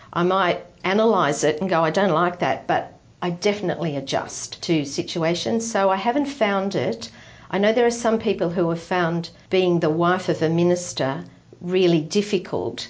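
In an Australian accent, a woman speaks at a moderate pace and fairly low pitch, with lively intonation and very even loudness. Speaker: retired ministry wife. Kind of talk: interview testimony.

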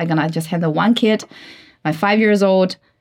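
A woman speaks at a medium pitch with a Chinese accent. The background is quiet. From China. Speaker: marketing director and working mother. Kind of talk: interview. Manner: halting with fillers and repeats.

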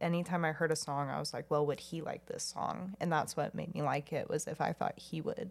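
At a fairly quick pace, a woman talks with hardly any pauses. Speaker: podcast co-host. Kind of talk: casual chat.

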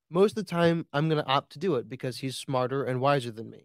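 With an American accent, a man speaks in an unremarkable speaking voice at a fairly high pitch with ordinary pitch variation, the sound dry and close with no echo in a very clean recording against a silent background. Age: 20s. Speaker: Republican co-host and political commentator. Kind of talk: heated political debate.

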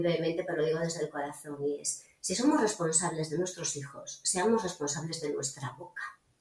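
Noticeable background noise sits behind a woman with a fairly low pitch. She talks at a fairly quick pace with ordinary pitch variation. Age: 50s. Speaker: psychologist and coach. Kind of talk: casual chat.

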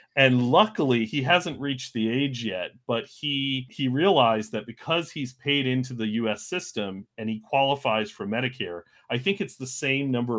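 A man with an American accent speaks at a moderate pace with medium pitch, ordinary pitch variation and an ordinary speaking voice. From United States. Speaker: podcast co-host. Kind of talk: casual interview.

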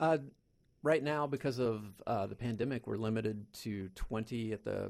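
In a very clean recording with a silent background, an unremarkable speaking voice with an American accent moves at a moderate pace with ordinary pitch variation. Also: man. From Kansas. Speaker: school head. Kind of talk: interview.

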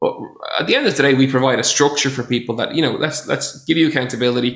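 The speaker uses ordinary pitch variation and speaks with an Irish accent. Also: man. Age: 30s. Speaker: personal trainer. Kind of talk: casual chat.

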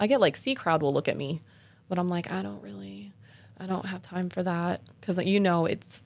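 In a plain, everyday voice, a woman talks at a fairly quick pace, her fairly low pitch showing ordinary variation. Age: 30s. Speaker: podcast host and exotic dancer. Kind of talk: casual chat.

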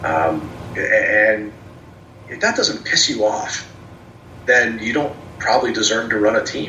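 In an American accent, a man talks at a fairly slow pace with long, frequent pauses. Background noise is noticeable. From New Jersey, Trenton area. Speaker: minor league baseball general manager. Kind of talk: casual interview. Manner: halting, many repetitions and fillers.

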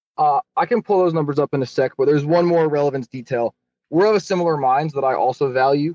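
A man with a plain, everyday voice talks at a fairly quick pace and a fairly high pitch, with ordinary pitch variation, in a dry, close sound with no echo. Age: 20s. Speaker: caller. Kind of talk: call-in question.

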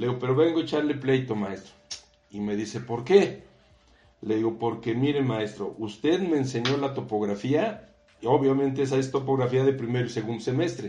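With music in the background and audible room echo, a man speaks at a moderate pace and medium pitch with ordinary pitch variation. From Mexico. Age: 60s. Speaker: civil engineer and university professor. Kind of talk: interview.

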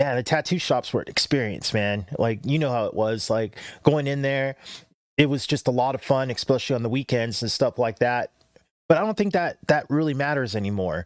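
An ordinary speaking voice from a man with an American accent, medium pitch, lively intonation, a fairly quick pace, and a dry, close sound with no echo. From Southern California, Los Angeles area. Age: 40s. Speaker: tattoo artist. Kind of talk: casual chat. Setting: studio.

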